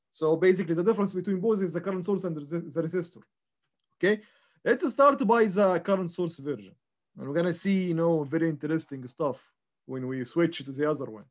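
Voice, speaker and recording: A man's high pitch with lively intonation over a quiet background. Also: fairly quick pace. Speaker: instructor. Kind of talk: lecture.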